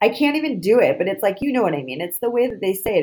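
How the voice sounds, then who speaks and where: With an American accent, the speaker races along at a very fast pace with vocal fry and a dark, mellow tone. The pitch swings very widely. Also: woman. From Boston. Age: 30s. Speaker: podcast host. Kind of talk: casual chat.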